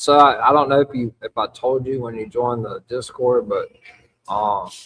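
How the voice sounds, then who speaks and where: A man with a Louisiana accent talks at a moderate pace, his loudness swinging widely. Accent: Louisiana Southern US. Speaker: wrestling podcast host. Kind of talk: live podcast recap chat. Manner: casual, halting with fillers.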